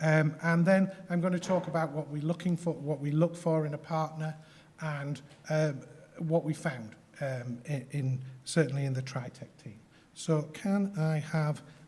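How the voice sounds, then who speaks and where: Speech at a moderate pace in a Yorkshire accent. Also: man. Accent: Yorkshire accent, noticeable. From Yorkshire, northern England. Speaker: health tech company founder. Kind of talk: conference presentation. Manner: hesitant, many fillers.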